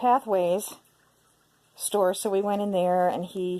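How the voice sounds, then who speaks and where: A woman speaks in a plain, everyday voice. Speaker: journaling YouTuber. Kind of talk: casual journal flip-through.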